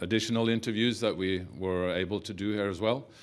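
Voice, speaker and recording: Audible room echo surrounds a man whose intonation stays fairly even. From Norway. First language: Norwegian. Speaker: film producer. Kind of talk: press conference speech. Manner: halting, many fillers.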